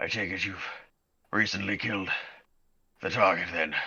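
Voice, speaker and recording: A man's raspy, put-on character voice at a fairly low pitch. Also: moderate pace. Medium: actual play. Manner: grave, accusatory.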